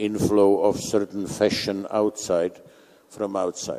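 A man's very slow, fairly low speech with a Czech accent and a dark, mellow tone. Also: quiet background. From Czech Republic. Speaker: conference moderator. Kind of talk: panel moderation. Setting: stage with audience. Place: hall.

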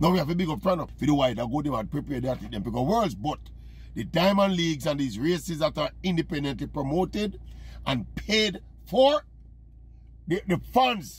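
In a Jamaican accent, a man speaks at a fairly quick pace with an animated tone. The sound is dry, with no echo. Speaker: sports commentator. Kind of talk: opinion monologue to camera. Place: car. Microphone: phone near.

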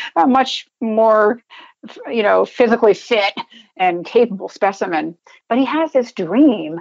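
The background is quiet. A woman speaks at a fairly high pitch. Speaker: retired coast guard vice admiral. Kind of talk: interview answer.

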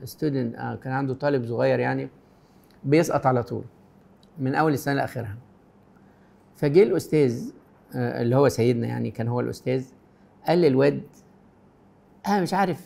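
Pausing long and often, a man with an Egyptian accent speaks at a moderate pace. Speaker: Coptic priest answering viewer questions. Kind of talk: pastoral advice answering read-out questions. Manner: warm, gentle. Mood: warm, gentle, reassuring. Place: studio.

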